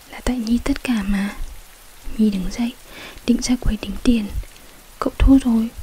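A woman speaks softly at a moderate pace, her pitch fairly high and her intonation fairly even. She leaves long, frequent pauses, and her loudness swings widely. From Vietnam. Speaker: ASMR story reader. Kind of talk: ASMR bedtime story reading. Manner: soft-spoken. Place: home room. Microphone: studio mic.

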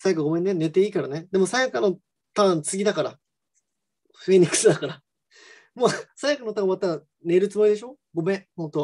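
Against a quiet background, a man talks at a very fast pace. He leaves long, frequent pauses. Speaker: professional mahjong player and commentator; commentator. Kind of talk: solo live stream chat. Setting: live stream. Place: home room. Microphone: video call.

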